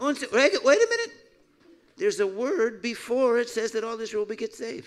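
Pitched extremely high, a man talks at a moderate pace with ordinary pitch variation. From US. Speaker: messianic pastor, preacher. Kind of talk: sermon with interpreter. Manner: animated. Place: church. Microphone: handheld.

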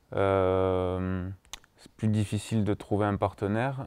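A dark, mellow tone with fairly even intonation and a dry sound with no echo. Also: man. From southwest France, Tarbes; southwest France. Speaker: professional footballer; interviewee. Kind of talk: casual interview. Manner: hesitant, many fillers. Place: home room. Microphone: lapel.

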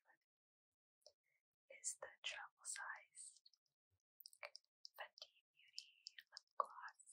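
Whispering very slowly, a woman leaves long, frequent pauses. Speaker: ASMR creator. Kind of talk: ASMR show-and-tell. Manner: whispered. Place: home room.

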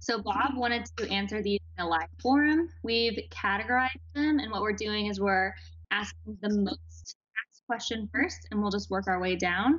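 A woman's ordinary pitch variation and moderate pace come through over a quiet background. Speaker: marketing director and moderator. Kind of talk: live Q&A moderation. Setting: studio. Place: home room. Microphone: video call.

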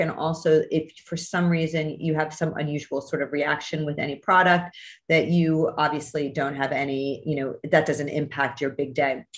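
This woman has a very deep, low pitch and fairly even intonation. She speaks at a moderate pace over a quiet background. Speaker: skin doctor hosting a masterclass. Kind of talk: online lecture. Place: home room. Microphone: video call.

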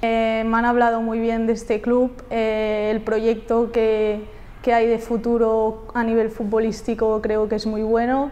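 A woman speaks fairly slowly at a fairly high pitch with a dark, mellow tone. Her intonation is monotone and flat. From Catalonia, Spain (near Barcelona). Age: 20s. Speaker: footballer. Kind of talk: interview answers. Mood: friendly, upbeat. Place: studio. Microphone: lapel.

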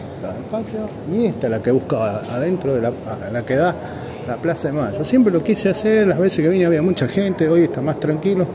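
Fairly quick speech with very wide pitch swings over noticeable background noise. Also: man, high pitch for a man. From Argentina. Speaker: vlogger. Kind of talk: casual walking vlog. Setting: walking through a museum. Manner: animated. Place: hall. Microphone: phone near.

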